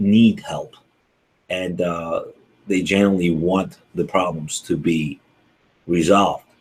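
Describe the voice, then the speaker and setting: The speaker has a Ukrainian accent and fairly even intonation. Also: man. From Ukraine. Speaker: accountant. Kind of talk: webinar presentation. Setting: online video broadcast. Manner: hesitant, many fillers.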